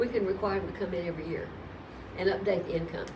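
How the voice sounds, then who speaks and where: Audible room echo and noticeable background noise accompany this woman as she talks. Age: 70s. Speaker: tax commissioner. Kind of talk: interview.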